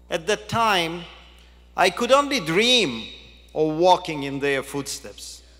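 This man talks at a very slow pace with lively intonation. His tone is bright and sharp. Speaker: keynote speaker. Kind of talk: formal speech. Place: hall. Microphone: podium.

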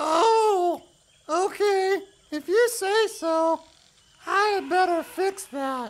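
In a cartoonish character voice of extremely high pitch, the speaker goes very slowly with long, frequent pauses. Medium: puppet. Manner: upbeat.

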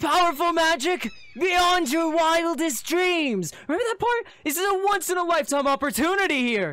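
A man's put-on character voice at extremely high pitch, bright and sharp in tone, with lively intonation at a moderate pace

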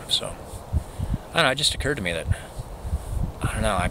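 A man's voice with a dry sound and no echo, amid noticeable background noise. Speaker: vlogger. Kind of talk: casual vlog chat. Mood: reflective, musing. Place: open country. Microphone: phone near.

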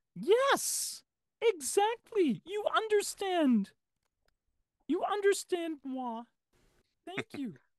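A female-sounding put-on character voice, extremely high in pitch, moves at a very slow pace with long, frequent pauses. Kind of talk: affected, fussy.

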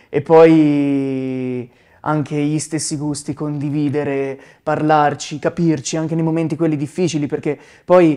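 Over a quiet background, a man with a fairly high pitch and a dark, mellow tone speaks at a moderate pace in a monotone, flat intonation. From Tuscany, Arezzo province (Sansepolcro). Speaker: musician, band member. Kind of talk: interview. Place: studio. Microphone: lapel.

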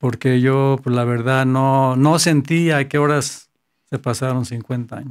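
A man talks in a monotone with flat intonation. His pace is very slow against a quiet background. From Tepatitlán, Jalisco, Mexico; Jalisco, Mexico. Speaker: accountant, painter and songwriter; interviewee. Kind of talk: interview. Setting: studio. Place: studio. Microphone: studio mic.

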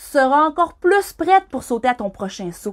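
At a fairly slow pace, a woman talks. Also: quiet background. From Quebec. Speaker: skydiving instructor. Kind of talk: reading aloud. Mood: warm, encouraging. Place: home room. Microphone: phone near.

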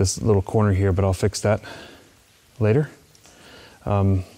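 The speaker is a man. Fairly even intonation runs through his speech. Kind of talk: tutorial. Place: tunnel cave.

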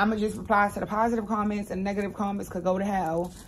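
Over light background noise, a woman talks at a very fast pace in a somewhat breathy voice. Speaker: home product vlogger. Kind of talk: casual vlog chat. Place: home room. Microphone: phone near.

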